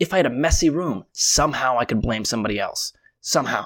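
Lively intonation in an American accent comes through a very clean recording with a silent background and a dry, close sound with no echo. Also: man. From Connecticut, US. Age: 20s. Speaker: life coach and podcaster. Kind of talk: casual interview.

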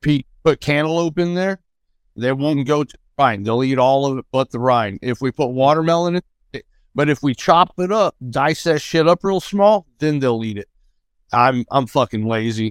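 A man with an American accent and an unremarkable speaking voice talks at a moderate pace, fairly high in pitch with lively intonation, in a dry, close recording without echo. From Missouri. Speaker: podcast panel guest, listener who sends in voice messages. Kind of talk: casual chat.

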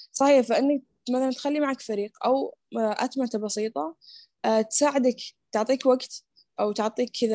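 With a normal speaking voice, a woman talks at a fairly slow pace and fairly even intonation, the sound dry and close with no echo. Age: adult, mother of small family. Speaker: community founder and productivity coach. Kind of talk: interview.

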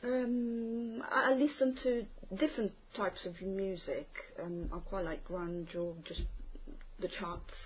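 Very slow and full of long, frequent pauses, a woman speaks with lively intonation at a fairly high pitch. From Italy, Terni in Umbria. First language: Italian. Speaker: language test candidate. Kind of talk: spoken exam interview. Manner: hesitant, many fillers.

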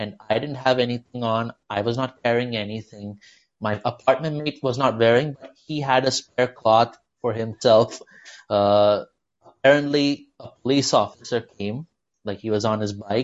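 Pitched in the medium range, a man talks at a moderate pace with fairly even intonation. His loudness swings widely. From India, childhood in US. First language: Malayalam. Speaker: stand-up comedian. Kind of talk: casual interview chat. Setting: remote call from Mumbai.

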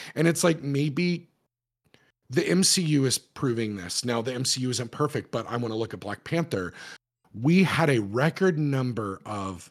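Very clean audio sits over a silent background. The speech has lively intonation. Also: man. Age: 30s. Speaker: podcast host. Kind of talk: casual chat. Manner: animated.

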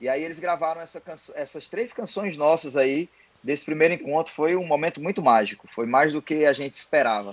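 A man speaks in a normal speaking voice, fairly high in pitch with ordinary pitch variation. His pace is fairly quick, and his loudness swings widely. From Ceará, Brazil. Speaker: songwriter and singer. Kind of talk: casual interview. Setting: remote call from home.

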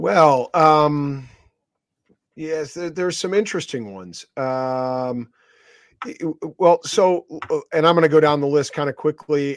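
Heard in a dry, close sound with no echo, a man with a plain, everyday voice and a fairly high pitch speaks at a moderate pace. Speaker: rugby correspondent.

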